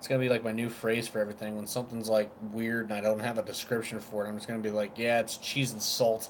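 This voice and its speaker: Spoken in a Southern US accent, the delivery is flat and monotone, racing along at a very fast pace with hardly any pauses. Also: man, medium pitch for a man. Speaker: vape reviewer. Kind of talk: casual chat. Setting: live stream.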